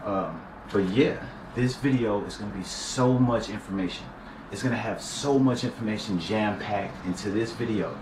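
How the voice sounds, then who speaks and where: Noticeable background noise and audible room echo fill the recording. A man talks at a moderate pace with a fairly low pitch and fairly even intonation. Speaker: YouTuber vlogging a personal celibacy journey. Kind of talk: casual talk to camera. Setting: talking to camera. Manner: casual slangy.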